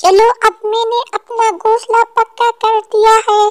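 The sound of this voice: In a cartoonish character voice, a woman speaks at an extremely high pitch with monotone, flat intonation and a fairly slow pace, the sound dry and close with no echo.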